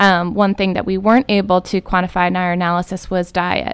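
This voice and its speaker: Talking at a fairly quick pace, a woman uses a plain, everyday voice with medium pitch and an American accent. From Michigan. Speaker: environmental epidemiologist. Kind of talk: radio interview. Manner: frequent fillers.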